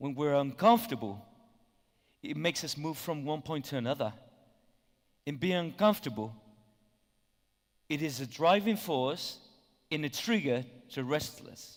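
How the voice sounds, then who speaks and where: With lively intonation and fairly high pitch, a man speaks at a moderate pace, leaving long, frequent pauses. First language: Spanish. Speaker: conference speaker. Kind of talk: conference talk. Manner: hesitant, many fillers.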